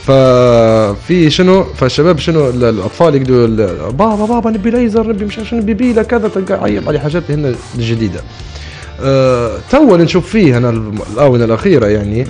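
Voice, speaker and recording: Faint music plays behind a man speaking at a moderate pace. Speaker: radio guest or co-host. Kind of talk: casual radio talk-show chat, reminiscing. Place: studio. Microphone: studio mic.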